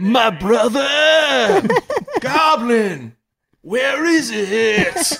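A man's gravelly, put-on character voice at an extremely high pitch, delivered at a very slow pace. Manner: yelling.

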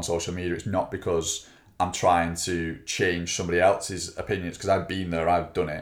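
Here is a man with an English accent. He talks at a very fast pace. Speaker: fitness coach and podcast co-host. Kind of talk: casual chat.

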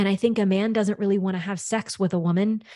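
A woman's ordinary speaking voice at medium pitch with an American accent, ordinary pitch variation, and a dry, close sound with no echo over a quiet background. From US South, Louisiana. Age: 30s. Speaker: sex coach. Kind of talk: casual interview chat.

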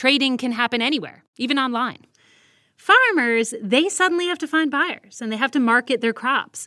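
Raised and projected, a woman's high voice carries a bright, sharp tone and lively intonation. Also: moderate pace. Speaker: foreign correspondent. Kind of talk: radio storytelling.

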